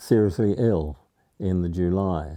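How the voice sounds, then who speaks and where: A man with an English accent, his tone dark and mellow, against a quiet background. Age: 90s. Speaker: war veteran. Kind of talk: interview. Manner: halting.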